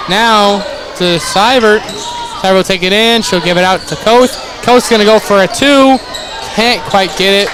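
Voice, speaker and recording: Long pauses come often in this moderately paced speech, with noticeable noise in the background. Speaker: sports commentator. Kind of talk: live commentary. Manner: animated; halting.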